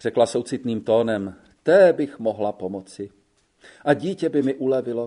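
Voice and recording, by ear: The background is quiet while someone reads aloud in a natural voice, intonation lively throughout.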